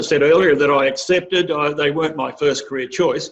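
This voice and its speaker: A man speaks with an Australian accent at a fairly quick pace. His pitch moves up and down in an ordinary way. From Australia, rural western New South Wales. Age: 60s. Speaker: agricultural industry chief executive. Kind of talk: career advice talk. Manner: halting, many fillers.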